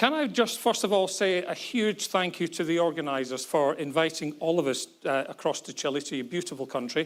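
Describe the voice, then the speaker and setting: A man's fairly high voice at a fairly quick pace, hardly any pauses, ordinary pitch variation, on a very clean recording with a silent background. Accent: Scottish. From Scotland, Glasgow. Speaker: forensic psychologist, former military police detective. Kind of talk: conference talk. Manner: fast.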